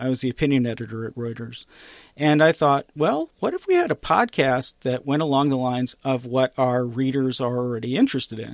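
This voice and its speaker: A plain, everyday voice from a man at medium pitch, with fairly even intonation and a dry, close sound with no echo. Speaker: podcast co-host and journalist. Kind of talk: casual chat.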